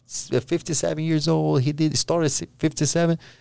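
A man with a Brazilian accent, a dark, mellow tone and very wide pitch swings. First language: Portuguese. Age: 30s. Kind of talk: casual interview chat. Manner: halting, searching for words.

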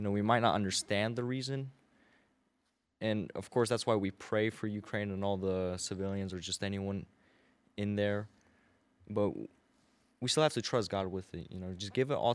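Against a silent background in a very clean recording, a man with a fairly low pitch talks at a moderate pace, his intonation fairly even and broken by long, frequent pauses. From US, Belarus-born, moved at age two. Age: 19. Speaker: car detailer. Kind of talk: casual chat.

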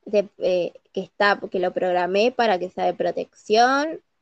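The recording is dry and close with no echo, carrying a woman's fairly high-pitched voice. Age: 30s. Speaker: podcast co-host. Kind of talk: casual chat.

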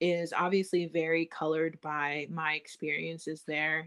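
Heard with a dry, close sound and no echo, a woman with an American accent has an unremarkable speaking voice, a fairly low pitch and fairly even intonation. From United States. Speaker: podcast guest, daughter of a Sakha teacher. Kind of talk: casual interview chat.

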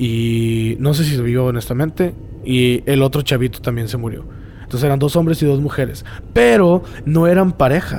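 The speaker is a man with a medium-pitched voice. Noticeable background noise can be heard. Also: ordinary pitch variation, moderate pace. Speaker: podcast host. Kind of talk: casual chat. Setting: cemetery.

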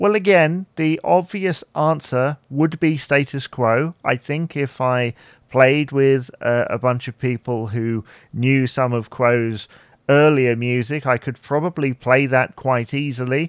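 A man uses a normal speaking voice at a medium pitch with ordinary pitch variation. The very clean recording has a silent background and a dry, close sound with no echo. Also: fairly slow pace. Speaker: podcast host. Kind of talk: casual solo Q&A podcast.

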